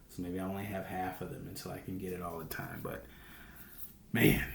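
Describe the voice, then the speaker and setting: A man speaks quietly in a room with audible echo. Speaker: day trader. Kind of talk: weekly trading recap vlog. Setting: home recording at night. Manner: hushed, quiet; casual, rambling with fillers.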